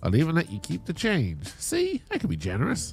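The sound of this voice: A man puts on a character voice, fairly high-pitched for a man, with vocal fry. His pitch swings very widely at a fairly quick pace while faint music plays behind him.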